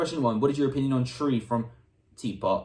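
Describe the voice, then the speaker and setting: A man's fairly high, somewhat breathy voice in an enthusiastic tone. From UK, Serbian family. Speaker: YouTuber. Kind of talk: Q&A casual chat. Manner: casual, enthusiastic.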